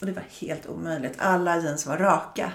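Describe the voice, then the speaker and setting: The woman has an unremarkable speaking voice, fairly low in pitch, with fairly even intonation at a moderate pace. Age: 50s. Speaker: fashion buyer. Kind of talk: casual interview.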